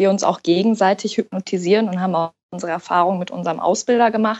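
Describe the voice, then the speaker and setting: Her intonation is monotone and flat. The woman's pitch sits at a medium level. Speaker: hypnotherapist. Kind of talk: interview.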